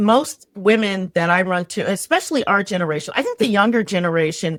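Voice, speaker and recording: With an American accent and a plain, everyday voice, a woman of medium pitch talks at a fairly quick pace with lively intonation, the sound dry and close with no echo. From New York, the Bronx. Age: 60s. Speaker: resilience strategist. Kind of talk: casual chat.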